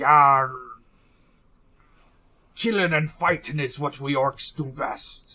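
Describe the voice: In a put-on character voice, raspy and low-to-middle in pitch, someone speaks at a very slow pace with long, frequent pauses, on a very clean recording with a silent background.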